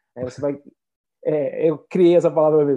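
A man with a fairly high pitch and a dark, mellow tone, talking at a fairly quick pace in a Brazilian accent. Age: 20s. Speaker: marketing entrepreneur. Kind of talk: interview.

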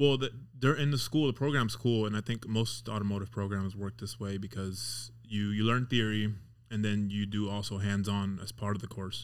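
Speaking at a moderate pace, a man uses an ordinary speaking voice with fairly low pitch. His intonation stays fairly even. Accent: American. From Las Vegas, US. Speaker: auto mechanic. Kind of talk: casual chat.

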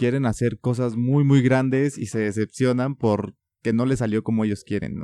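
With a Mexican accent, a man speaks at medium pitch and a moderate pace, his intonation fairly even. His tone is dark and mellow, and the sound is dry and close with no echo on a very clean recording with a silent background. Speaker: podcast host. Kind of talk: interview conversation.

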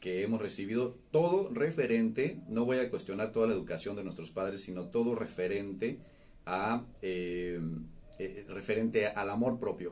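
At a fairly slow pace, a man speaks in a fairly low pitch with ordinary pitch variation. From Mexico, Baja California (Ensenada). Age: 40s. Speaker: psychologist. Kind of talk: live-streamed talk. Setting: live stream. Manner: halting, repeats words.

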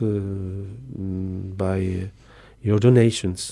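In a Polish accent, a man speaks with a dark, mellow tone at a fairly low pitch. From southern Poland, Tarnów. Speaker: missionary priest. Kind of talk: radio interview. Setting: studio. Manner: halting.

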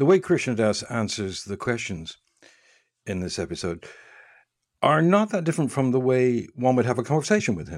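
Recorded very cleanly against a silent background, a man with a medium pitch moves at a moderate pace through very wide pitch swings and long, frequent pauses. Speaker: podcast host and announcer. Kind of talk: podcast introduction and outro.

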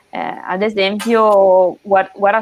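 Her intonation monotone and flat, a woman at a medium pitch talks very slowly. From northern Italy, Emilia-Romagna (near Bologna). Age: 20s. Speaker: sports sustainability specialist, former competitive swimmer. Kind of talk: interview on a live stream.

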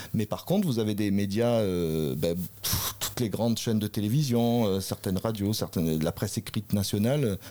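This man talks at a moderate pace with a dark, mellow tone, captured on a very clean recording against a silent background. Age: 40s. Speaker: parliamentary candidate. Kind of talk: political interview. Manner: halting, many hesitations.

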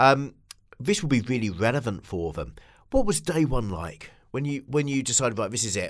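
Captured in a very clean recording with a silent background, a man with vocal fry speaks at a moderate pace and medium pitch, making very wide pitch swings. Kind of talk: casual interview chat.

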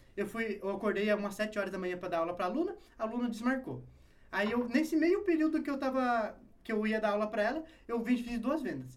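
With audible room echo, a man talks very fast in a high pitch with lively intonation. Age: 20s. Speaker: online personal trainer. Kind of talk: casual interview chat.

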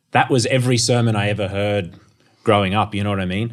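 A man speaks in an Australian accent with a fairly low pitch. The recording is very clean, with a silent background. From North Queensland, Australia. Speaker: theology academic. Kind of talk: interview. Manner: halting, frequent repeated words.

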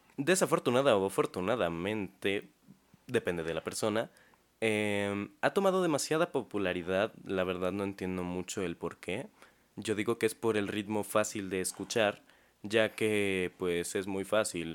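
A man with a normal speaking voice, ordinary pitch variation and a fairly slow pace, on a very clean recording with a silent background. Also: fairly low pitch for a man. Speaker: podcast co-host. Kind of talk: casual chat. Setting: studio.

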